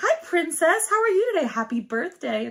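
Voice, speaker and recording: In a put-on character voice, the speaker sounds bubbly and cheerful at an extremely high pitch. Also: moderate pace. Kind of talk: polite service script. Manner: bubbly, cheerful, overly sweet.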